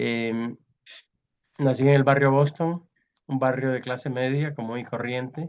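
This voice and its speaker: A man's medium-pitched voice, fairly slow, with long, frequent pauses and a monotone, flat intonation. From Colombia, Barranquilla (Caribbean coast). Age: 80s+. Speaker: writer and art critic. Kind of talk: interview.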